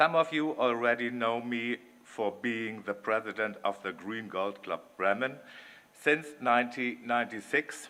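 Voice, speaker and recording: The man's tone is bright and sharp, at a medium pitch with ordinary variation. He speaks at a fairly slow pace. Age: 60s. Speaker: election candidate, dance club president and business executive. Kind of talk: campaign speech. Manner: formal.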